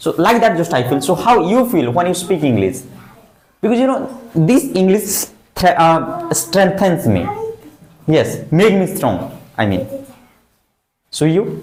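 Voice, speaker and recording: A man with an Indian accent speaks at a fairly slow pace in a high pitch, leaving long, frequent pauses. His pitch swings very widely, and the room echo is audible. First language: Hindi. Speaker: English teacher. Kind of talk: classroom speaking practice.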